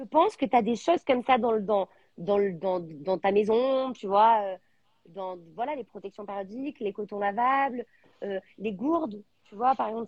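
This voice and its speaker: At a fairly slow pace, a woman with a plain, everyday voice speaks at a fairly high pitch, with lively intonation and big swings in loudness. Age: 30s. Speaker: entrepreneur, founder of a menstrual products brand. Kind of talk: live interview. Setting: live video stream.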